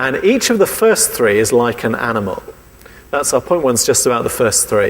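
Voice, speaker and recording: Over noticeable background noise, a man with an English accent talks at a moderate pace. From England. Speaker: preacher. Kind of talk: sermon.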